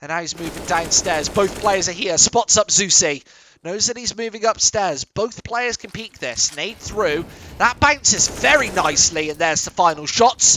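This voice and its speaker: This man has an English accent and an animated tone. His intonation is lively and his pace moderate. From England. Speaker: esports caster. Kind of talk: live commentary. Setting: studio.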